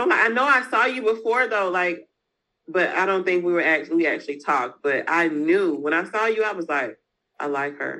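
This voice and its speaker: Her tone bright and sharp, a woman with a Southern US accent lets her pitch swing very widely. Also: fairly low pitch for a woman, fairly quick pace. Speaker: business owner, freight agent. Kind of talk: interview.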